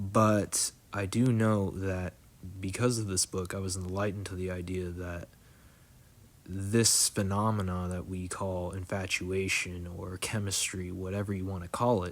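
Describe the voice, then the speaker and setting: In a very clean recording with a silent background, a man speaks fairly slowly. His very deep, low voice stays monotone and flat. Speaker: video blogger. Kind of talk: casual monologue. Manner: halting; hesitant, many fillers.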